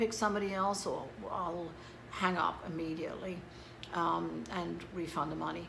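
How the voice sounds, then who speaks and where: This voice belongs to a woman and sits at a fairly low pitch. Her words carry audible room echo. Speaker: psychic medium. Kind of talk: casual monologue to camera. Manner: hesitant with many fillers.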